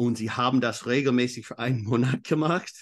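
Speech with an English accent moves at a moderate pace with fairly even intonation. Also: man. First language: English (speaking German). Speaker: exercise physiologist and coach. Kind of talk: interview. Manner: halting.

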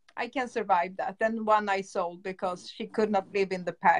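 A woman with a Swedish accent speaks at a medium pitch, her intonation fairly even. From Stockholm, Sweden. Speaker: dog breeder. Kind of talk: casual interview. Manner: halting.

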